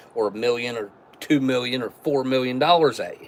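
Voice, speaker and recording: A man with an American accent talks at a medium pitch. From West Virginia. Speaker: MRE taste-test streamer. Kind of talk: casual live stream chat. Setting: live stream.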